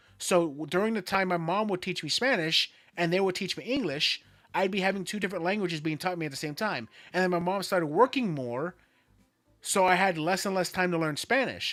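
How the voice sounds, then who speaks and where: Music plays in the background as a man speaks with an American accent at a fairly quick pace. His pitch is high with ordinary variation. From Florida, US. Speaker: streamer. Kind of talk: casual chat.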